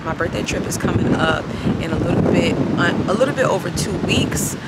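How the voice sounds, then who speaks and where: A woman at a fairly quick pace, loud background noise behind her, the sound dry with no echo. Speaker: vlogger. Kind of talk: casual vlog chat. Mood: relaxed, grateful. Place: waterside. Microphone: phone near.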